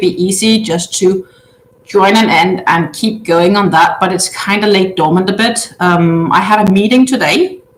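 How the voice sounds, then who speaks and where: A woman talks at a fairly slow pace while noticeable background noise is heard. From Denmark. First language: Danish. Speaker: crochet livestreamer. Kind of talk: casual chat. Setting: livestream via webcam. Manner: hesitant with many fillers.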